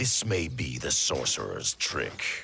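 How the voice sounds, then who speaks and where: A man speaks in a put-on character voice at a fairly slow pace. His pitch is very deep and low. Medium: video game. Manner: stern, clipped.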